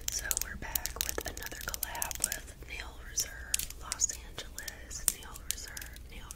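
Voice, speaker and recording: A woman whispers, soft-spoken. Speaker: ASMR creator. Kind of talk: ASMR whispering. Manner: whispered, soft-spoken. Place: home room. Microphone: studio mic.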